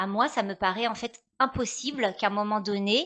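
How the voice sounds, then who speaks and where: Against a quiet background, a woman speaks at a medium pitch and a fairly slow pace. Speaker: actress, storyteller, voice-over artist. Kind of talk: interview answer. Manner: hesitant, conversational.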